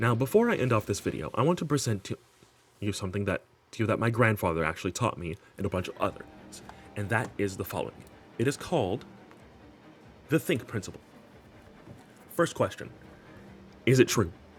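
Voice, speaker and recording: A man's medium-pitched voice with lively intonation at a fairly quick pace, broken by long, frequent pauses, over music in the background. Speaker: gaming commentary youtuber. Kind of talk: scripted commentary video. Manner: halting, with repeats and flubs.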